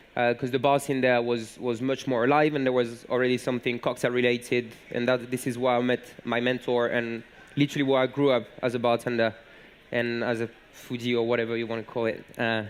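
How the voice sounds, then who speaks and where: Speaking with a French accent, a man keeps a medium pitch and monotone, flat intonation. His pace is fairly quick, and there is noticeable background noise. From southern France, Montpellier. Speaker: bartender. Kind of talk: conference talk. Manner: halting, many fillers.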